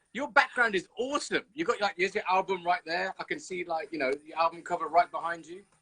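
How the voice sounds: A man with a slight Birmingham accent talks fast at a high pitch, his bright, sharp tone carrying a slightly husky edge and ordinary pitch variation. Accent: English, light Birmingham.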